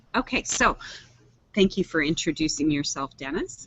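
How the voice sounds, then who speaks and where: A woman speaks in a soft-spoken way. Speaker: online show host. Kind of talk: casual chat. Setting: video call from public library. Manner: varied pitch.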